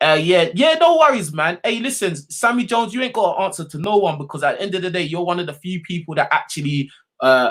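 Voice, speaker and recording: A man talks at a very fast pace with hardly any pauses, his high-pitched voice animated and his intonation lively. The recording is very clean, with a silent background. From England. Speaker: live call-in show host. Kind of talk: casual livestream chat.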